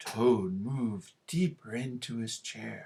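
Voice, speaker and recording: The voice sits at a low-to-middle pitch and moves at a fairly slow pace. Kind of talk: classroom read-aloud. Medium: read story. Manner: gentle, warm.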